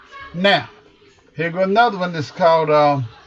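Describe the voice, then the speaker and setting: The speaker has an American accent and talks at a moderate pace with ordinary pitch variation. Noticeable background noise is present. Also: man. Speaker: football coach. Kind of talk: tutorial.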